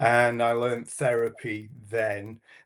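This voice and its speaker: A man speaks at a very slow pace. He has a Yorkshire accent. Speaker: hypnotherapist and stage hypnotist. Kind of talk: interview.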